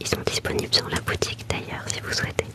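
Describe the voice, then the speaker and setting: There is noticeable background noise throughout. Under it, a woman whispers. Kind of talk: ASMR live stream chat. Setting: livestream from her bedroom. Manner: whispering; soft-spoken.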